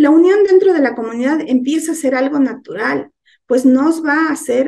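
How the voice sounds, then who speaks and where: A woman speaks in a high voice. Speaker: lay church teacher. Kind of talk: sermon. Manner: soft-spoken.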